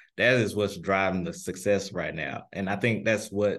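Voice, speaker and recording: A fairly low-pitched man with a Memphis accent, fairly even intonation and a fairly quick pace. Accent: Southern US (Memphis). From US South, Memphis, Tennessee. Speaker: pharmacist. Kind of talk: interview.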